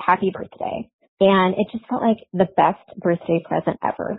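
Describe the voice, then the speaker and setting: In an American accent, a woman speaks at a medium pitch and a moderate pace with ordinary pitch variation. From Iowa. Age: 40s. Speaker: caller. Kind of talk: testimony. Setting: phone voicemail.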